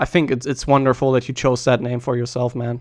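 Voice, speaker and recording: This is a man speaking. He has a German accent. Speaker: streamer and speedrunning commentator. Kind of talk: live stream commentary rant. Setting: live stream. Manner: halting, with false starts.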